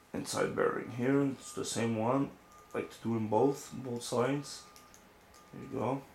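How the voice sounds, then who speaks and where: Over noticeable background noise, a man speaks at a medium pitch in a monotone, flat intonation, with big swings in loudness and long, frequent pauses. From France or French-speaking region. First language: French. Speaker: RC hobbyist. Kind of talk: tutorial. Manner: casual, halting.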